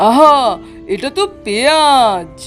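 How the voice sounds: A woman in a cartoonish character voice speaks at a very slow pace, high-pitched with lively intonation, over faint background music.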